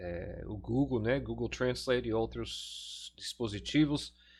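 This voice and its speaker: A man with an English accent speaks at a very slow pace. The recording is very clean, with a silent background. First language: English (speaking Portuguese). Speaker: pastor and teacher. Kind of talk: lecture. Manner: halting, many fillers.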